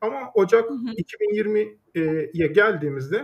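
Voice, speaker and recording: A man speaks with very wide swings in pitch. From Turkey, Düzce. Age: 30s. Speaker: startup founder. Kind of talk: interview. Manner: hesitant with frequent fillers.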